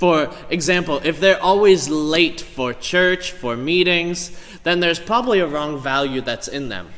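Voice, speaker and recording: Amid noticeable background noise and audible room echo, a man with an English accent and a high pitch speaks at a fairly slow pace, with ordinary pitch variation and hardly any pauses. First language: English (speaking Indonesian). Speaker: pastor. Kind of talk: sermon. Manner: halting.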